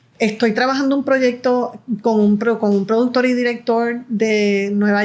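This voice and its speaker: A woman talks very slowly in a fairly high voice. Her pitch varies in an ordinary way. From Puerto Rico. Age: 60s. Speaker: film producer and director. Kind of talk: interview conversation. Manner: halting, with repetitions.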